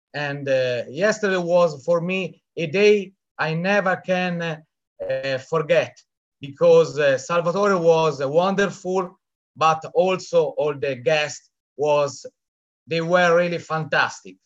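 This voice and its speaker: In an Italian accent, a man speaks at a very slow pace. His pitch is high, with ordinary variation. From Italy. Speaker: event attendee, business team member. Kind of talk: testimony. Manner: halting.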